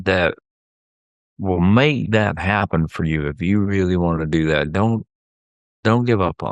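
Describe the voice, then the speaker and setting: With a Southern US accent, a man talks at a fairly slow pace in a very deep, low pitch, leaving long, frequent pauses and using ordinary pitch variation. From US South. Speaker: therapist, podcast co-host. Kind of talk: casual chat.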